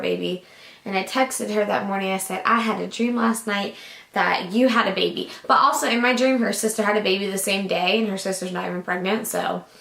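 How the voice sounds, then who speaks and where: A woman talks at a medium pitch, her intonation fairly even, while background noise is clearly audible. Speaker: vlogger. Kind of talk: casual vlog monologue. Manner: chatty, filler-heavy.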